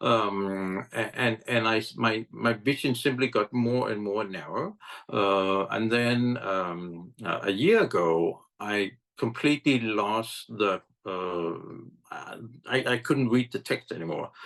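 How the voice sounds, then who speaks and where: A man talks at a very slow pace with a fairly low pitch. The background is quiet. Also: ordinary pitch variation. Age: 60s. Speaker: app founder, blind advocate. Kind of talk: interview. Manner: halting, many fillers.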